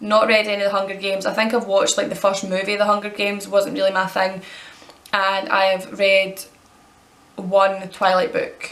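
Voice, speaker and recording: Speaking at a fairly quick pace, a woman talks with a Scottish accent. Audible room echo and noticeable background noise fill the recording. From Scotland. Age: 20s. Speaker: vlogger. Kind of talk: casual Q&A tag video.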